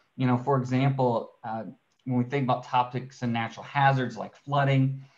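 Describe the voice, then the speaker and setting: A man speaks with an ordinary speaking voice. His pitch is medium and his pace moderate. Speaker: research scientist. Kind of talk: webinar presentation. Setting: video call.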